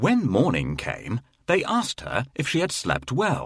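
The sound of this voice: The voice moves at a slow pace, with very wide pitch swings, vocal fry, and a slightly husky edge. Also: man, medium pitch for a man.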